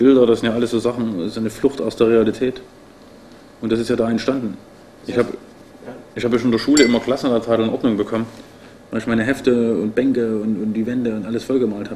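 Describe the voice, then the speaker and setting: Despite a very fast pace, a man leaves long, frequent pauses, speaking in a flat, monotone intonation over light background noise. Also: medium pitch for a man. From Leipzig, Saxony, eastern Germany; Saxony, Germany. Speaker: painter and artist. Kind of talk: casual interview talk.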